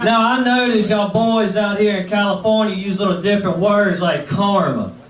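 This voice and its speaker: Over noticeable background noise and audible room echo, a man with an American accent talks at a fairly quick pace in a high pitch with fairly even intonation. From Mississippi. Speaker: stand-up comedian. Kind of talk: stand-up. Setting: stage with audience.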